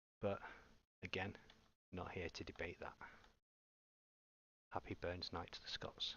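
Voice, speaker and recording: A man with an English accent speaks at a fairly slow pace, with long, frequent pauses. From England. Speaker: gaming streamer. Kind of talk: live gameplay commentary.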